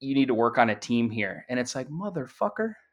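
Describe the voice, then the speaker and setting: A man with a plain, everyday voice speaks at a fairly quick pace, fairly high in pitch for a man. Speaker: former Marine. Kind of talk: casual chat. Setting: video call.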